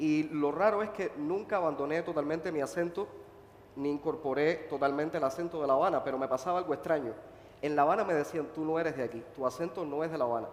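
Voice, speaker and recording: A man's fairly high voice at a very fast pace with ordinary pitch variation, plus noticeable background noise and audible room echo. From Cuba, Holguín (eastern Cuba). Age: 30s. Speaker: playwright and activist. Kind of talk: panel discussion. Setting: stage with audience at book fair.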